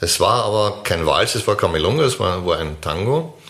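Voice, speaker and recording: A man speaks over noticeable background noise. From Vienna, Austria. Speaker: podcast co-host, tango dancer. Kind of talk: casual chat.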